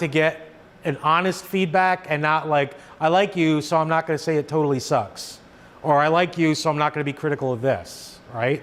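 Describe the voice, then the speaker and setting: A man talks at a moderate pace in a plain, everyday voice. His pitch is fairly high, with ordinary pitch variation. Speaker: horror writer and lecturer. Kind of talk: lecture.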